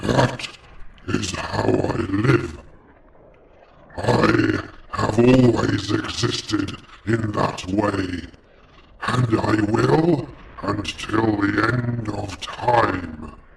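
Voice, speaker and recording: In a put-on character voice, a man speaks very slowly at a fairly low pitch with a menacing tone. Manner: menacing, commanding.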